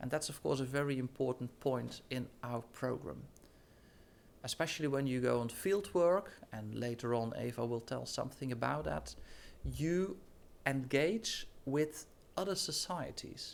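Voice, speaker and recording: With a Dutch accent, a man speaks at medium pitch and a fairly slow pace, his intonation lively. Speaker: professor. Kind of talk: presentation. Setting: studio.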